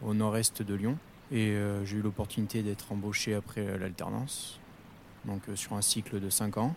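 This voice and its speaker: A man speaks with a fairly low voice. His intonation stays fairly even. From Corrèze area, central France. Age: 20s. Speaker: plant technician. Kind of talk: interview.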